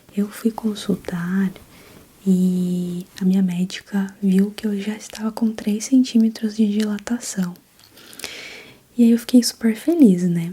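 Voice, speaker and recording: Soft-spoken and gentle, a woman talks in a relaxed tone at a medium pitch with fairly even intonation. Her pace is very slow, broken by long, frequent pauses. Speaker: ASMR content creator and new mother. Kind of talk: ASMR personal storytelling, birth story told casually. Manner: soft, gentle, relaxed.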